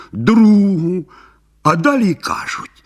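The put-on character voice unfolds at a fairly slow pace. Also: man. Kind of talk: bedtime story. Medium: read story. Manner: even, unhurried.

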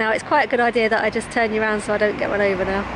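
A woman at a fairly quick pace, dry sound with no echo, noticeable background noise. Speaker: vlogger. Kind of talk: casual vlog chat. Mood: cheerful, joking. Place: street. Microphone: phone near.

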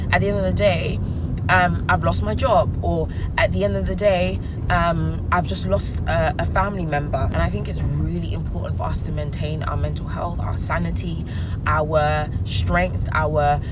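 A woman talks at a moderate pace. Loud background noise sits behind her. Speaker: vlogger. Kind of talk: casual vlog chat. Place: car. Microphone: phone near.

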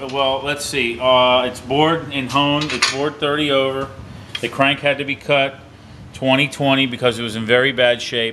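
The delivery is monotone and flat, at a moderate pace, with light background noise. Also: man. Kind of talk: explanatory shop talk. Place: workshop. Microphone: phone near.

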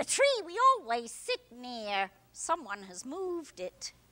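Her pitch is high and swings very widely. The woman speaks fairly slowly, with big swings in loudness. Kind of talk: Broadway stage acting. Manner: querulous, imperious.

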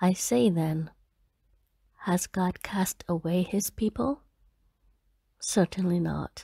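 Soft-spoken and somewhat breathy, a woman with a dark, mellow tone and medium pitch speaks very slowly in a dry, close sound with no echo. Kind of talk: bible reading. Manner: soft-spoken, slow; quiet.

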